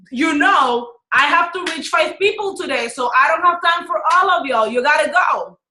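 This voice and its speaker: In a Dominican accent, a woman speaks in a raised, projected voice. Her intonation is lively and her pace moderate. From Dominican Republic. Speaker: business and life coach. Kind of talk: webinar teaching. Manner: animated.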